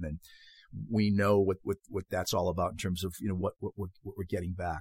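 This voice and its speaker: A man talks with a Boston accent. The sound is dry and close with no echo, in a very clean recording with a silent background. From Boston, Massachusetts. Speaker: podcast host and soccer coach. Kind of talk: solo podcast monologue.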